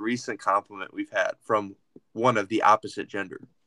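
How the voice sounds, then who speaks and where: Here a man has a bright, sharp tone. The recording is dry and close with no echo. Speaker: podcast host. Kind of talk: casual chat. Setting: video call. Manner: animated.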